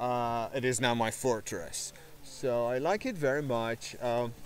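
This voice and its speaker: The recording is dry, with no echo. A man speaks at a very slow pace. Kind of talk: casual vlog chat. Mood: calm, reflective. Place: garden. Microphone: phone near.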